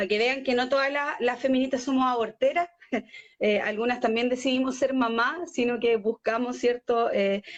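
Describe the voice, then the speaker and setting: Fairly even intonation from a woman with a high voice, at a moderate pace. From Chile, Talca. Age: 20s. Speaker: party leader and feminist activist. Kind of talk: radio interview. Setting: live online radio stream.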